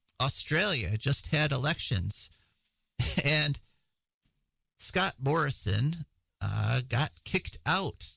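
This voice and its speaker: Putting on a raspy character voice, a man speaks very slowly with lively intonation, a fairly high pitch, long, frequent pauses and very even loudness. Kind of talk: news reader reporting a story.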